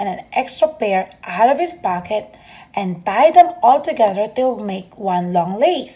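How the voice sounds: What you hear is a natural reading voice.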